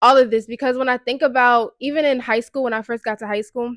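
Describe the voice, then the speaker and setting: A woman with an American accent speaks at a high pitch on a very clean recording with a silent background. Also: dry, close sound with no echo. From Baltimore, US. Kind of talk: casual personal testimony. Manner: casual, conversational.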